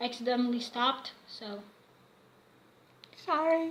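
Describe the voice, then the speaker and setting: Raising and projecting her high voice, a woman talks at a fairly slow pace with ordinary pitch variation. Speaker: fanfiction vlogger. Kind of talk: casual vlog monologue. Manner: halting, many fillers.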